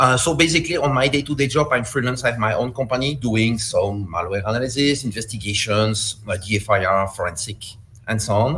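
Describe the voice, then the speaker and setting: A man with a Belgian accent and a bright, sharp tone speaks at a fairly quick pace with hardly any pauses. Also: medium pitch for a man, ordinary pitch variation. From Belgium. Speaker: malware analyst and security instructor. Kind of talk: conference talk. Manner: halting.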